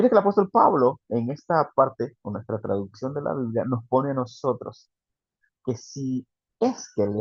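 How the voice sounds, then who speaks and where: Speaking in an animated tone, a man of medium pitch makes very wide pitch swings. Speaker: preacher. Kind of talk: sermon. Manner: fast.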